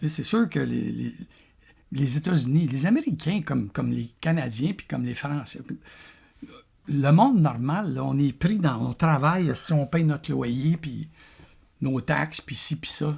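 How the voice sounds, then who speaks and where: Speaking fairly slowly in a Quebec accent, a man leaves long, frequent pauses. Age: 60s. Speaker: vlogger. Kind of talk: casual monologue. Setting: café. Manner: halting, many repetitions.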